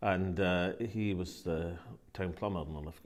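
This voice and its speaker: With a Scottish accent, a man talks at a moderate pace in a very deep, low voice with ordinary pitch variation. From Linlithgow, West Lothian, Scotland. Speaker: politician, First Minister of Scotland. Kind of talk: interview answer.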